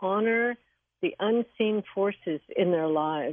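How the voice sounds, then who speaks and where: A woman speaks at a fairly slow pace in a plain, everyday voice. Her pitch is medium and her intonation lively. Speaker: Vastu practitioner and author. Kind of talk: radio interview, explanatory talk.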